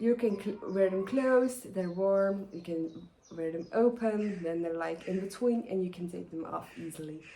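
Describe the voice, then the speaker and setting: A woman's dark, mellow tone at medium pitch, with ordinary pitch variation and a moderate pace. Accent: Flemish. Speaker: knitting podcaster. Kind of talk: casual vlog talk. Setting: outdoors in the garden. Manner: hesitant, many fillers.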